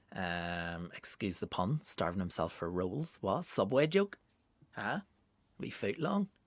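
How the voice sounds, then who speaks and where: This man speaks fairly slowly with a Northern Irish accent, his fairly low voice making very wide pitch swings. The recording is very clean with a silent background and a dry, close sound with no echo. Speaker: comedian. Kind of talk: casual monologue podcast. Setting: home studio.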